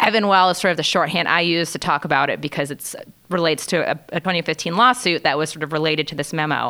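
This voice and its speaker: A woman with a bright, sharp tone, a fairly low pitch, ordinary pitch variation and a very fast pace. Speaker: legal reporter hosting podcast. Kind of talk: casual interview discussion.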